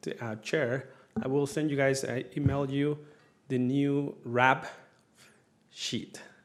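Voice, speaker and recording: With a non-native accent, a man with a fairly high pitch talks at a fairly slow pace and fairly even intonation, leaving long, frequent pauses, and audible room echo surrounds him. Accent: foreign. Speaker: city staff member reporting on business licensing. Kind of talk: council work session report. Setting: city council meeting. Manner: hesitant, many fillers.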